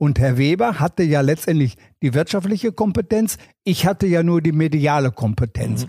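Recorded very cleanly against a silent background, this man has a fairly high pitch, a dark, mellow tone and lively intonation, speaking at a moderate pace with very even loudness in a dry, close sound with no echo. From Ruhr area, Germany (Wanne-Eickel). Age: 70s. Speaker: former tennis tournament press officer. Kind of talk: casual interview.

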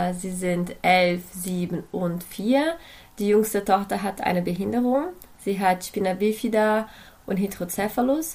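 This voice moves at a fairly slow pace. Its pitch variation is ordinary. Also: woman. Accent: Portuguese. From Brazil. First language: Portuguese (speaking German). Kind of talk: podcast interview.

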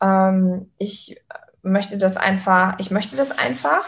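A woman speaks with a medium-pitched voice. Her delivery is somewhat breathy. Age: 30s. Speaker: physiotherapist turned travelling online entrepreneur. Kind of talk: interview. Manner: animated.

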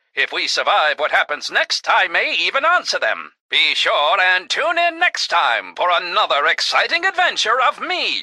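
The recording of a man has a dry, close sound with no echo. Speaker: voice actor. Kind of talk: dramatic narration, comic radio-serial adventure parody. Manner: theatrical, over-the-top, posh-sounding adventurer voice, with a gruff sidekick voice.

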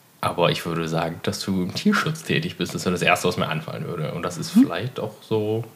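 A man's very deep, low voice with very wide pitch swings, a fairly quick pace and noticeable background noise. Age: 30s. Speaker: podcast co-host. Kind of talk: casual chat.

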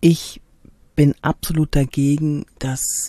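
A woman's dark, mellow voice with fairly even intonation comes through in a dry, close sound with no echo. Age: 50s. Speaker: body language trainer and actress. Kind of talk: podcast monologue rant. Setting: in a camper van.

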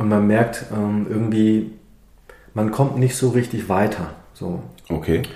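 With long, frequent pauses at a very slow pace, a man speaks in a dark, mellow tone at a fairly low pitch with ordinary pitch variation. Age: 50s. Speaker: osteopath and naturopath. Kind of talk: interview. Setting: in his practice.

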